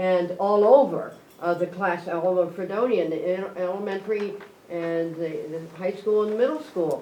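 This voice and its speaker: There is audible room echo around this woman's voice, along with noticeable background noise. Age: 70s. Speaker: substitute teacher. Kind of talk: public meeting remarks. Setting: school board meeting.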